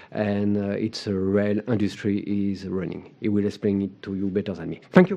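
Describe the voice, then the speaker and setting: A man with a strong French accent and fairly low pitch speaks at a moderate pace. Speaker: conference organizer. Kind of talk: conference welcome remarks. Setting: conference podium with audience. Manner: halting, many fillers.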